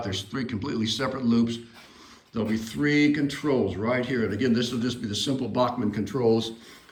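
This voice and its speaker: A man at a medium pitch and fairly quick pace, ordinary pitch variation, audible room echo and noticeable background noise. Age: 60s. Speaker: model railroad hobbyist and shop builder. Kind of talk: casual video walkthrough. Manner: casual, hesitant with fillers.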